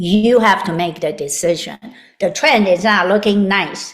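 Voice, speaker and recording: A woman's unremarkable speaking voice at a medium pitch, with ordinary pitch variation. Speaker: health and vitality expert. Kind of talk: interview.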